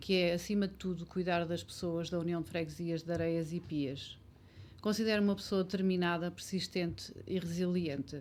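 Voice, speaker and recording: Using a normal speaking voice, a woman talks at a moderate pace with a fairly low pitch and fairly even intonation. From Portugal, Ferreira do Zêzere area. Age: 50s. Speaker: local election candidate. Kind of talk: election debate.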